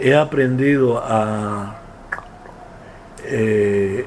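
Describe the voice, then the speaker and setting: A man speaks with a Cuban accent and ordinary pitch variation. Noticeable background noise sits behind him. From Santiago de Cuba, Cuba. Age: 70s. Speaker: playwright. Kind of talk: interview answer.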